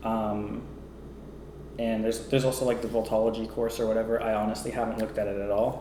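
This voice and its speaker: A man at a very fast pace and medium pitch, monotone and flat, with audible room echo. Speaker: vlogger. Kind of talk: personal vlog monologue. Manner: hesitant, many fillers.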